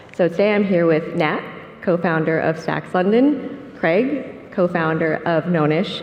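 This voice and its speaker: A soft-spoken woman amid noticeable background noise and audible room echo. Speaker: panel moderator. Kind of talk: conference panel moderation. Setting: conference stage with audience.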